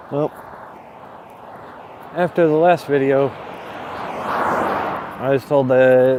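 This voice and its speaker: A soft-spoken man's fairly high voice, very slow with long, frequent pauses and fairly even intonation, over noticeable background noise. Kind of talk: casual talk to camera (walking vlog). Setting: outdoors, street with background noise. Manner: soft-spoken, quiet.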